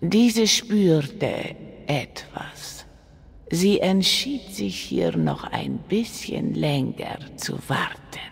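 In a raspy put-on character voice at a middle pitch, the speaker goes at a very slow pace. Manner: speaks of herself in third person.

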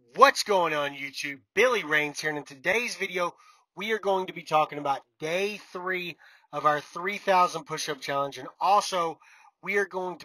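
A man's bright, sharp voice at a moderate pace, ordinary pitch variation, big swings in loudness, dry sound with no echo and a quiet background. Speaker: truck driver vlogger. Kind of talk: casual vlog chat. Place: car. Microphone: phone near.

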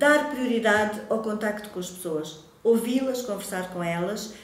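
A woman's fairly high voice at a fairly slow pace, with audible room echo. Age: 50s. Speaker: local election candidate, secondary school Portuguese teacher; election candidate, secondary school Portuguese teacher. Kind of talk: campaign self-presentation to camera. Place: home room.

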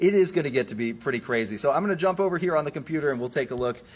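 The man talks at a very fast pace with lively intonation. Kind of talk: weather commentary on a livestream. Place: studio. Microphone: phone near.

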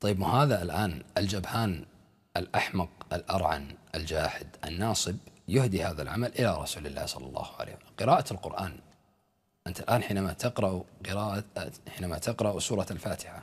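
A man's very deep, low, somewhat breathy voice at a moderate pace, with big swings in loudness against a quiet background. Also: ordinary pitch variation. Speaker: religious commentator. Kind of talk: polemical commentary. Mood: scornful, argumentative. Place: studio.

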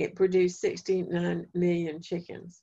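A woman with a North Carolina accent speaks very slowly at a fairly low pitch, in a dark, mellow tone. Her intonation is monotone and flat, and the background is quiet. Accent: Southern US (North Carolina). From eastern North Carolina, Duplin County. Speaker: family therapist and speaker; presenter. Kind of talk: lecture. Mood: calm, reflective. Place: home room. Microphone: video call.

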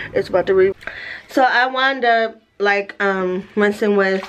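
Light background noise is audible. A woman talks with ordinary pitch variation. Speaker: vlogger. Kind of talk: casual vlog chat. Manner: careful speech around new tongue ring. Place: home room. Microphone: phone near.

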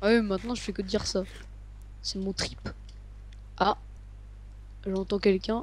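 Her pace is fairly slow. The woman leaves long, frequent pauses. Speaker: gamer. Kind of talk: casual chat.

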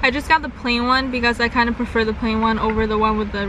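A woman's monotone, flat delivery at a fairly quick pace, dry with no echo, over noticeable background noise. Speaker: vlogger. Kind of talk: casual vlog chat, food review.

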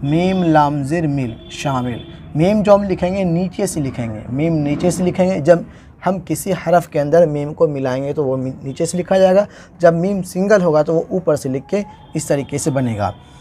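A man's fairly high voice with a dark, mellow tone, fairly slow pace and ordinary pitch variation. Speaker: Urdu teacher, YouTuber. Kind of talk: tutorial. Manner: halting.

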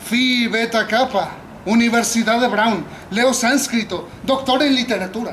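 Noticeable background noise sits behind a speaker who talks fairly slowly with ordinary pitch variation. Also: man. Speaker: actor in a staged scene. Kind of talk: theatrical monologue. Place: garden. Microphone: camera far.

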